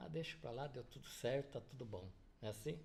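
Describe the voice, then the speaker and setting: A man speaks in a somewhat breathy voice. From Paraná, southern Brazil. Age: 70s. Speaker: business owner. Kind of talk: interview.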